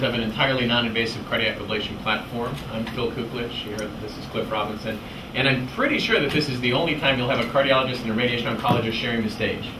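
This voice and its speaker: A man talks at a very fast pace with monotone, flat intonation. Noticeable background noise runs underneath. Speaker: presenter. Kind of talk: lecture. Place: classroom.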